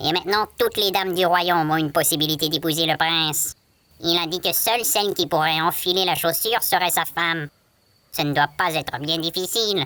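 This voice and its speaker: A man's put-on character voice, high in pitch, fairly quick in pace, with very even loudness. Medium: read story. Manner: chatty, excitable.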